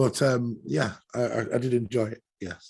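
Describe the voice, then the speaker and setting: The speaker has an English accent. The delivery comes at a fairly slow pace. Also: man. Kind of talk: casual chat.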